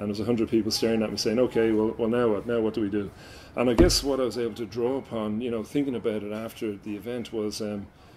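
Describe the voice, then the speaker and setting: A man speaks very fast in a dark, mellow tone with monotone, flat intonation. Light background noise sits underneath. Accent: Irish. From Ireland. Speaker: MC and facilitator. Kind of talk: interview answer.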